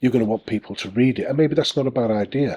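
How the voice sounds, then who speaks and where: A man speaks with a Northern English accent and a voice full of vocal fry. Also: dry, close sound with no echo. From northern England. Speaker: self-publishing author and YouTuber. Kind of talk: casual tutorial talk to camera. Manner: hesitant, many fillers.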